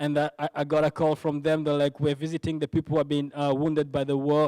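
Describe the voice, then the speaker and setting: Speaking very fast in a Congolese accent, a man with a fairly high pitch and a dark, mellow tone keeps a monotone, flat intonation and very even loudness, recorded with a dry, close sound with no echo. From DR Congo, Goma. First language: French. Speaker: ministry worker giving testimony. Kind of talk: testimony. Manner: halting, with repetitions and false starts.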